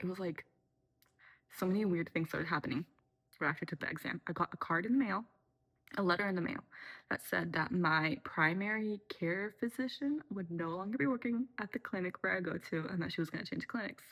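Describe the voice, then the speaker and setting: The pace is fairly quick. Intonation sounds lively throughout. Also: woman, medium pitch for a woman. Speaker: video blogger. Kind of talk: casual chat. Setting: at home at night, making tea. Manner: soft-spoken, moving close to the mic late at night; animated.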